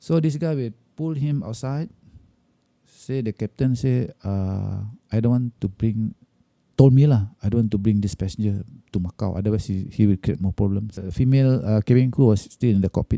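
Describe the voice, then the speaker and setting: Dry and close with no echo, a man's voice carries a dark, mellow tone. He speaks in a Malaysian accent at a moderate pace. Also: fairly low pitch for a man, ordinary pitch variation. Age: 60s. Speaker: airline cabin crew. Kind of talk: interview answer. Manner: storytelling.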